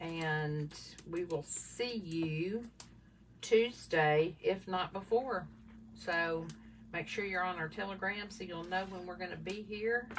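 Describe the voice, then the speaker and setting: This woman speaks in a Southern US accent. Her pace is very slow. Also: medium pitch for a woman, ordinary pitch variation. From US South. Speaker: craft livestream co-host. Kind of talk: casual livestream chat reading viewer comments. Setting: live video stream.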